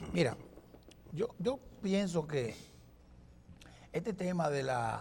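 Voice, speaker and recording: A man is speaking. His pace is very slow. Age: 60s. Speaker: political commentator. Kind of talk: TV panel discussion. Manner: halting.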